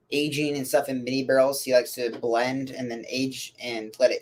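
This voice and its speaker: A man with a medium pitch talks at a fairly quick pace in monotone, flat intonation. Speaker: whiskey reviewer. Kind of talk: casual live stream chat. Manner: soft-spoken; halting.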